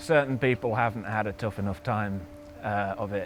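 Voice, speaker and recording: Here is a man with a Yorkshire accent. His pitch is fairly low. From Yorkshire, northern England. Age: 30s. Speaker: endurance cyclist. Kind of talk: interview.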